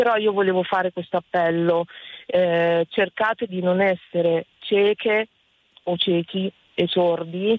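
Speaking very slowly with long, frequent pauses, a woman of medium pitch keeps her intonation fairly even. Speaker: caller, violence survivor. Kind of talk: testimony. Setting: phone call.

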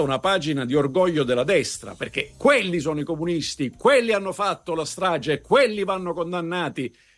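The speaker is a man. His voice is high-pitched. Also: hardly any pauses. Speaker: political commentator. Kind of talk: news commentary. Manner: formal.

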